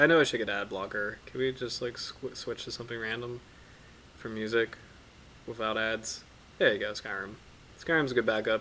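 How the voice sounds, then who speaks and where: A man with a medium pitch talks at a fairly quick pace, his tone bright, sharp and relaxed. His pitch variation is ordinary, and he leaves long, frequent pauses. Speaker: marine biology streamer. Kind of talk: casual live stream study session. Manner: relaxed, hesitant with many fillers.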